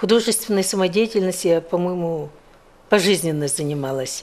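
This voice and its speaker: At a moderate pace, a woman speaks in a fairly low pitch with ordinary pitch variation and a plain, everyday voice. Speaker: former television announcer. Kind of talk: interview answer. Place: studio. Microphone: lapel.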